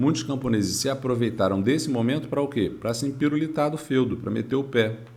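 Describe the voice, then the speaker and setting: A man's medium-pitched voice at a fairly quick pace, with ordinary pitch variation, hardly any pauses and audible room echo. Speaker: history teacher. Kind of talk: lecture.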